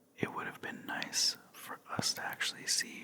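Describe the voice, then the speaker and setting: Someone whispers. Noticeable background noise runs underneath. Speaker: ASMR creator. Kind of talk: ASMR whisper ramble about a TV finale. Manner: whispered, soft; casual, rambling.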